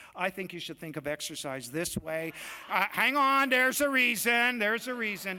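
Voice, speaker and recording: In a raised, projected voice, a man with a high pitch and an animated tone makes very wide pitch swings over noticeable background noise. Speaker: doctor. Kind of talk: lecture. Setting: stage with audience. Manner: fast.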